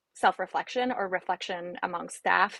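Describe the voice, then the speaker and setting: A woman's medium-pitched voice with a Spanish accent and vocal fry, at a moderate pace, in a very clean recording with a silent background and a dry, close sound with no echo. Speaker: trafficking survivor advocate. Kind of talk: panel discussion. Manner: halting.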